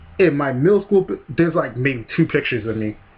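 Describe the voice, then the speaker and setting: A man's medium-pitched voice, somewhat breathy, moves with lively intonation. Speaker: YouTuber. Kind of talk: casual vlog monologue. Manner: hesitant, many fillers.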